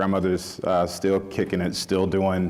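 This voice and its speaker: A man with a Southern US accent and a very deep, low pitch. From rural Mississippi. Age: 30s. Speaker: chef. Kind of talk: panel talk. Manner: halting, many fillers.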